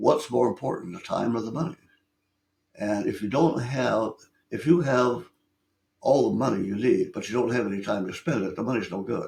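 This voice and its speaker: Somewhat breathy and at medium pitch, a man talks at a moderate pace with lively intonation and long, frequent pauses. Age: 80s+. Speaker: business consultant. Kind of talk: podcast interview. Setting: studio. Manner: halting, many repeated words.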